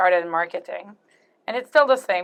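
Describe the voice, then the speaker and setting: With a French Canadian accent, a woman speaks at a medium pitch with fairly even intonation. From Quebec, Canada. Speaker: executive producer in show production. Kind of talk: interview. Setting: interview booth at a trade fair.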